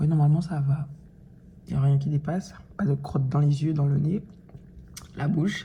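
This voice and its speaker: There is a somewhat breathy quality to this woman's dark, mellow voice. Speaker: vlogger. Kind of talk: casual vlog talk to camera. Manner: hesitant, many fillers.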